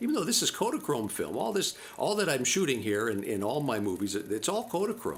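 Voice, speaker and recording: A man talks at a fairly quick pace with hardly any pauses, his pitch medium yet swinging very widely. His loudness stays very even, and background noise is noticeable. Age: 70s. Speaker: home movie narrator. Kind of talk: casual narration over home movies. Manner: halting, many fillers and repeats.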